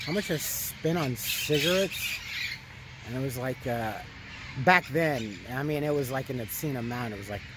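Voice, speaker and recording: The man's voice has a dry sound with no echo, set against noticeable background noise. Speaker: vlogger. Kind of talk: casual vlog chat. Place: street. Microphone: phone near.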